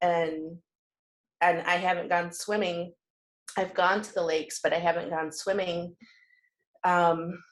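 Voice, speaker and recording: A woman's fairly low voice at a moderate pace. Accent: Michigan. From Michigan. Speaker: group coaching participant. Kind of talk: casual group discussion. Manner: halting, many repeated words.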